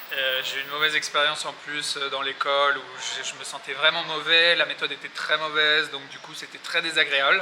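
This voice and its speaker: The speech moves at a fairly quick pace in a monotone, flat intonation, with big swings in loudness and noticeable background noise. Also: man, fairly high pitch for a man. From Paris, France. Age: 30s. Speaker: expat, trader. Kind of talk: interview answer. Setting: outdoors. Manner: hesitant, casual.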